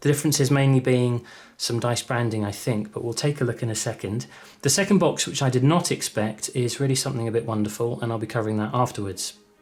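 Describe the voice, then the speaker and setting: Talking at a very fast pace, a man sounds somewhat breathy. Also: medium pitch for a man, ordinary pitch variation. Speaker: gaming YouTuber. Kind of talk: unboxing commentary. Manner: halting.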